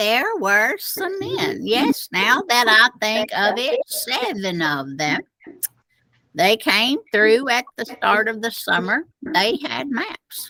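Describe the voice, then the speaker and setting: A put-on character voice, female-sounding, fairly high in pitch for a woman, with very wide pitch swings and a very slow pace. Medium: read story. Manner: ominous, repetitive.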